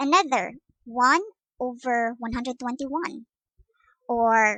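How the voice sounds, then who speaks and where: At a fairly slow pace, a woman with a Visayan Filipino accent speaks in a high voice with a bright, sharp tone, the sound dry and close with no echo. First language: Cebuano (Bisaya). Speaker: math teacher. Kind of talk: lecture. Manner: hesitant with fillers.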